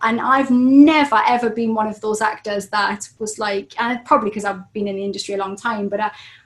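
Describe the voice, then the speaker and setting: A woman speaks fairly quickly at a fairly high pitch with ordinary pitch variation. Her loudness swings widely, and there is noticeable background noise. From northeast England (Newcastle, Geordie). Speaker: actress and self-development coach. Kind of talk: casual interview chat. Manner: animated.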